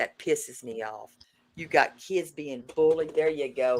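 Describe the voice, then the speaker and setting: A speaker with a Southern US accent talks at a fairly slow pace with lively intonation. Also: woman. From US South. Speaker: livestreamer. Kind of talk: livestream commentary. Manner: animated.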